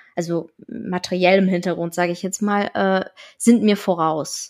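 A woman at a very slow pace. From northern Germany, Schleswig-Holstein. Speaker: interviewee sharing her educational background. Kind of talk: interview.

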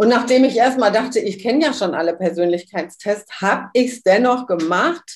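In a very clean recording with a silent background, a woman uses a normal speaking voice, fairly high in pitch, with lively intonation. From Switzerland. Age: 60s. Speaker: human design workshop leader. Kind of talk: interview.

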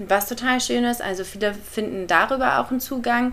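A woman with an ordinary speaking voice, fairly high in pitch, talks at a moderate pace with fairly even intonation. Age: 20s. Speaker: ayurveda coach and podcaster. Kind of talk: interview.

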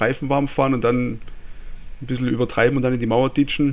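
A man with a Swabian accent speaks at a fairly quick pace and a medium pitch. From Swabia, southwest Germany. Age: 30s. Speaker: listener and motorsport fan, technician. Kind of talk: casual chat.

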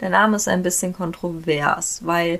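A medium-pitched woman's voice at a very slow pace, its intonation fairly even. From Germany, near Frankfurt am Main. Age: 20s. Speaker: podcaster, equestrian. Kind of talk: casual monologue. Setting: home, dressing room with sheets for acoustics.

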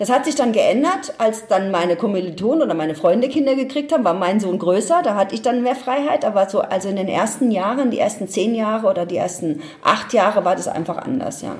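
With lively intonation and a fairly high pitch, a woman talks at a very fast pace with hardly any pauses over noticeable background noise. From Ludwigshafen, Palatinate, Germany. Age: 50s. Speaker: change management expert and speaker. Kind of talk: interview. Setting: at home.

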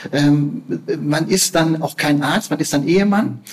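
A man's fairly high voice at a fairly slow pace, ordinary pitch variation, noticeable background noise. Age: 50s. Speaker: palliative care physician. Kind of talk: interview. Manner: halting, repeats words.

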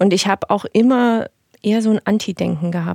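A woman's normal speaking voice, medium in pitch with ordinary pitch variation, dry and close with no echo. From eastern Germany, Dresden (Saxony). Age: 30s. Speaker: make-up artist. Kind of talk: casual interview chat.

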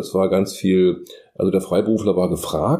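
A man speaks in a dark, mellow tone. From Magdeburg, eastern Germany. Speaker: design professor and freelance illustrator. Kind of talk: casual interview.

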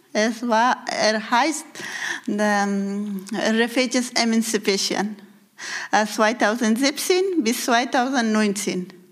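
Over noticeable background noise, a woman speaks at a very slow pace with a fairly high pitch, ordinary pitch variation and very even loudness. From Afghanistan. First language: Persian (Dari) (speaking German). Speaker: women's group leader. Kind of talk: interview. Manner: halting.

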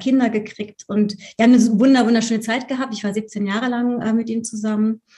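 Speaking at a very fast pace, a woman with a fairly high pitch uses monotone, flat intonation in a somewhat breathy, dark, mellow tone. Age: 50s. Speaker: Enneagram coach. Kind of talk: interview. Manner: halting.

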